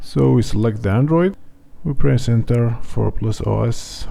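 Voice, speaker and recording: At a fairly slow pace, a man talks with a non-native accent over noticeable background noise. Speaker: tech tutorial youtuber. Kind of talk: tutorial.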